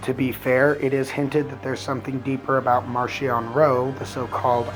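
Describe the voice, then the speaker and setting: Music plays in the background. A man speaks at a moderate pace and medium pitch with fairly even intonation. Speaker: book reviewer. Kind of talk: casual talk to camera.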